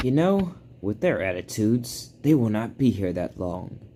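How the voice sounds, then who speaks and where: This man's voice is a put-on character voice, pitched at a medium level. His delivery moves at a moderate pace. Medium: read story.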